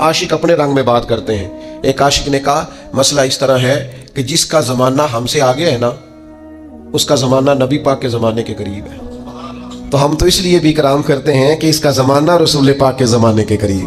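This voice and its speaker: A man's medium-pitched voice with ordinary pitch variation over music in the background. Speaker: Islamic preacher giving a religious sermon. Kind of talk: religious sermon (bayan) delivered to an audience.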